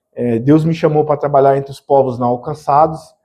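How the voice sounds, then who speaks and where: A man speaks at a fairly quick pace with a fairly high pitch. His tone is dark and mellow, and his intonation fairly even. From Bahia, Brazil. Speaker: missionary. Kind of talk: missionary presentation in church.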